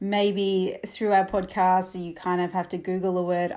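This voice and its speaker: Speaking with an Australian accent, a woman talks at a moderate pace and medium pitch. The recording is very clean, with a silent background. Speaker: camel trainer and podcast host. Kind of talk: podcast monologue. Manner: casual, with many fillers.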